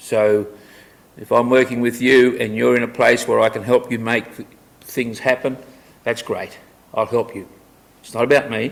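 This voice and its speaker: This man talks with an Australian accent in a monotone, flat intonation. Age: 70s. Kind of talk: public talk.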